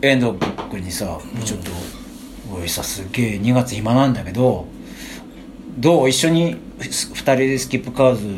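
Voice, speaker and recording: A man with a medium pitch speaks at a moderate pace with lively intonation, big swings in loudness and long, frequent pauses. The recording has audible room echo and noticeable background noise. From Japan, Chiba (Funabashi). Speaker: musician, band vocalist. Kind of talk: casual chat.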